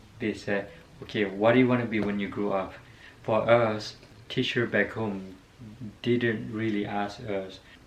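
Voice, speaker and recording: With a non-native accent, a man speaks at a moderate pace in a fairly low pitch and monotone, flat intonation, with audible room echo. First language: not English. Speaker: vlogger. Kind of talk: casual personal story. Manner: halting, many fillers.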